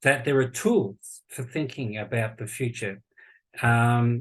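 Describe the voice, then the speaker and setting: A man with an Australian accent talks at a fairly slow pace in a medium pitch, somewhat breathy, with ordinary pitch variation. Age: 60s. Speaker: futurist and university lecturer. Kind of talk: podcast interview conversation. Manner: halting, with many false starts.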